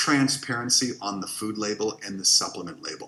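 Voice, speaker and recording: Here a man speaks with a bright, sharp tone. He keeps a fairly quick pace. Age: 50s. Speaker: wellness educator. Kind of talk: workshop presentation.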